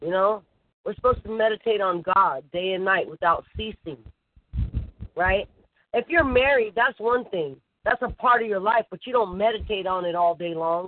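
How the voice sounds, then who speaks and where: A normal speaking voice from a woman at medium pitch, moderate pace and lively intonation. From US West Coast, Bay Area (Oakland). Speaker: targeted-individual interviewee, former Navy. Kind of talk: casual interview.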